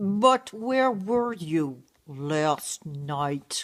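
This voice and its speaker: At a middle pitch, the speaker performs a put-on character voice. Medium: stage play.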